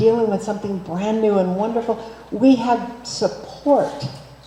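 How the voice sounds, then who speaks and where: Speaking fairly slowly, a woman uses a medium pitch with ordinary variation. Noticeable background noise can be heard. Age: 70s. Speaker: minister. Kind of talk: sermon.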